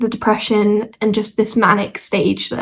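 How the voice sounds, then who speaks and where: With a British accent, a woman talks in a monotone, flat intonation. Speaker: vlogger. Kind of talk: casual chat. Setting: at home, squeaky chair. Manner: hesitant, with fillers.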